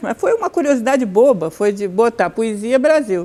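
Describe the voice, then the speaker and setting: At a moderate pace, a woman speaks with a dark, mellow tone and very wide pitch swings. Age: 70s. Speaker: writer and professor. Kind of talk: interview.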